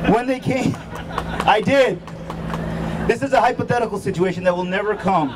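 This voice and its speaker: A man talks at a fairly quick pace with long, frequent pauses and noticeable background noise. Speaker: physician and state chapter president, rally speaker. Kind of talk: rally speech. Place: street.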